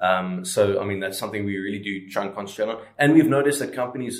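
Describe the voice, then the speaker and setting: Talking at a very fast pace, a man uses a fairly low voice. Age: 20s. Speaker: startup co-founder. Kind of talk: interview. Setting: outdoors.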